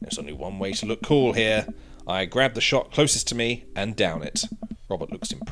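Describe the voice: The speaker is engaged in plain reading aloud.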